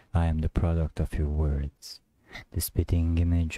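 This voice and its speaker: A man's very deep, low voice, dark and mellow, somewhat breathy and intense, with flat monotone intonation, dry with no echo, over a quiet background. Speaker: poet reciting. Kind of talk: spoken word poetry, confessional and despairing. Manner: brooding, intense, darkly introspective; repetitive, incantatory, building in emphasis. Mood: somber, brooding. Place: home room. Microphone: studio mic.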